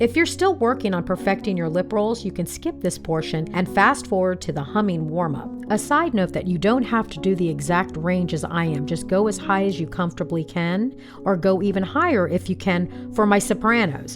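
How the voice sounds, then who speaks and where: Moderately paced speech from a woman, music playing in the background. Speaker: voice coach. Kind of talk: vocal warm-up instruction.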